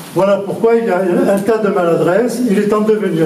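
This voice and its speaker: A man's high-pitched voice in a strong southern French accent, with fairly even intonation, audible room echo and noticeable background noise. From southern France. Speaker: mayor. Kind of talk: public speech. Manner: unscripted, halting.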